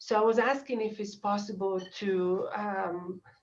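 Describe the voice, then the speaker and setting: A woman speaks at a very slow pace with medium pitch. Her intonation stays fairly even. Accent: Italian. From Italy, Dolomites. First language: Italian. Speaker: small business owner. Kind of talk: public meeting request. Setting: video call. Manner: halting.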